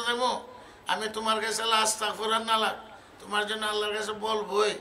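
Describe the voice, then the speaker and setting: This man's pitch is extremely high. He uses a raised, projected voice. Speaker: Islamic scholar giving a sermon. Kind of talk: waz, religious sermon.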